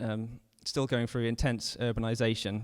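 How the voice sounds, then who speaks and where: The speaker is a man with a British accent. He goes at a fairly quick pace in a medium pitch. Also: very clean recording, silent background. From United Kingdom. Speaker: urban forester. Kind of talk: presentation talk. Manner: halting, with fillers.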